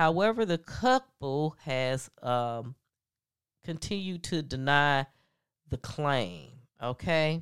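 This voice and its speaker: Delivered at a very slow pace with long, frequent pauses, the lively intonation comes through in a dry, close sound with no echo. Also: woman, very deep, low pitch for a woman, very clean recording, silent background. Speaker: podcast host. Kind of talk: casual gossip chat. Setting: home office. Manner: filler-heavy.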